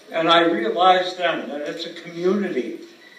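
A man with a high pitch is heard over noticeable background noise. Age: 80s+. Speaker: actor, improv performer, author. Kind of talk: award acceptance speech.

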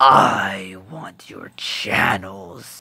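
A man's put-on character voice, raspy and very deep and low in pitch, with a menacing tone

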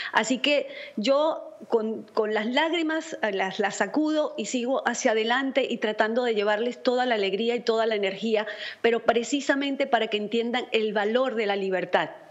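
With a fairly high pitch, a woman speaks at a moderate pace, her pitch varying in an ordinary way. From Venezuela. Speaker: Venezuelan opposition activist; guest. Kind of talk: political commentary. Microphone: video call.

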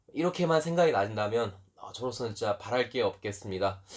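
Talking at a fairly quick pace, the man's pitch swings very widely. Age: 20s. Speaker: YouTuber, recovering gambling addict. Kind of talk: personal testimony monologue.

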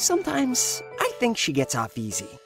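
Over faint music in the background, a man performs a cartoonish character voice. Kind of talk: cartoon character narration. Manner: upbeat.

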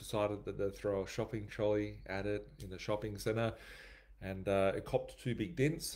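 At a moderate pace, a man talks with a fairly low pitch. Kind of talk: casual vlog chat. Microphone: webcam.

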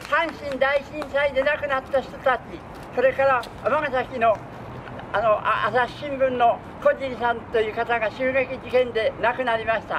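At a fairly slow pace and with fairly even intonation, a man talks in an extremely high pitch against noticeable background noise. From Hakodate, Hokkaido, Japan. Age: 80s+. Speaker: street performer and dancer. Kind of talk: spoken dedication before a street dance performance. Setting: outdoors. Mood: solemn memorial tone. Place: open country.

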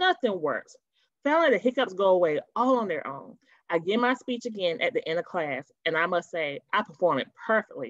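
Big pitch swings at a moderate pace. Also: woman.

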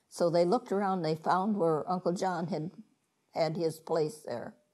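A woman's dark, mellow tone with a Midwestern American accent, at a fairly slow pace over a quiet background. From Ottawa County, Ohio; Ohio. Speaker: interviewee. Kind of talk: oral history interview answer. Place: home room. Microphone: lapel.

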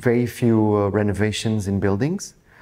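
Speaking fairly slowly in a Portuguese accent, a man with a fairly low pitch keeps a flat, monotone intonation. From Portugal (Lisbon); Portugal. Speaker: real estate agent. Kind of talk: interview; interview answer. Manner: halting. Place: office.

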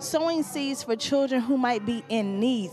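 A woman's high-pitched voice at a moderate pace, dry with no echo, over faint music in the background. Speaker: church announcer. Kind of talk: church announcements. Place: church. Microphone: handheld.

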